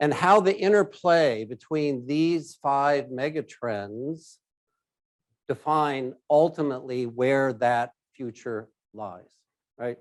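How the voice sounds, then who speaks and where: Speaking at a very slow pace, a man uses a fairly high pitch and lively intonation. The background stays quiet. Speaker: risk advisory executive, keynote speaker. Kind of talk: keynote presentation. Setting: stage with live audience, hybrid event. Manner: loud.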